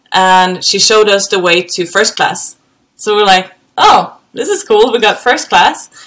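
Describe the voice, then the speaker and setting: A woman with a Swedish accent, medium in pitch, at a fairly slow pace. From Sweden, Gothenburg. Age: 30s. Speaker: helicopter pilot. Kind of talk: casual chat.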